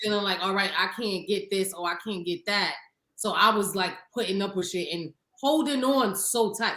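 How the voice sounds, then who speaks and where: A woman speaks with a Harlem accent. Her pitch varies in an ordinary way. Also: medium pitch for a woman, moderate pace. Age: 30s. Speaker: podcast co-host. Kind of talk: casual chat.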